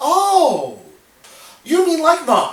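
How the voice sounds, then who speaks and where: A man's put-on character voice, extremely high-pitched, with slight echo. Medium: solo performance. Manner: cocky, teasing.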